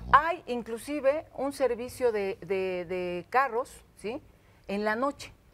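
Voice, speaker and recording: A woman with a fairly high pitch talks at a very slow pace, using lively intonation and big swings in loudness. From Mexico City, Iztapalapa; Mexico City. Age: 50s. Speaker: local politician. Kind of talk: studio interview. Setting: TV studio with audience. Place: studio. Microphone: lapel.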